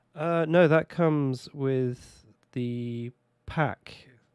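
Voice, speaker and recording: The sound is dry and close, with no echo. The speaker has a British accent. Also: man, very clean recording, silent background. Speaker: video game streamer. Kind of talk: casual gameplay commentary. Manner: casual, chatty.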